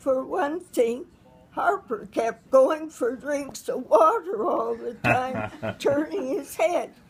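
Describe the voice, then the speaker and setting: With music in the background, a woman speaks very slowly at a high pitch and with lively intonation. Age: 80s+. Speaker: retired high school teacher. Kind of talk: casual conversation, interview answer.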